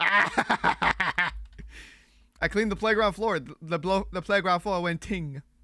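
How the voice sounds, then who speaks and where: The speaker has an animated tone and a fairly slow pace. The recording is very clean, with a silent background. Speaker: streamer. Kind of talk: casual livestream chat while gaming. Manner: stumbles over words, repeats himself.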